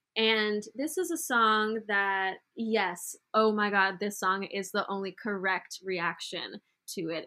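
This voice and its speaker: A woman speaks very slowly in a bright, sharp tone, on a very clean recording with a silent background. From Brazil. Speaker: podcast co-host. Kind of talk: casual chat.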